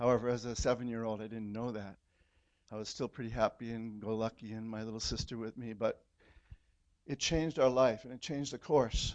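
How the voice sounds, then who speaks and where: With an American accent and an unremarkable speaking voice, a man at medium pitch talks at a fairly quick pace with fairly even intonation over a quiet background. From California. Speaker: church member. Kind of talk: testimony. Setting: church.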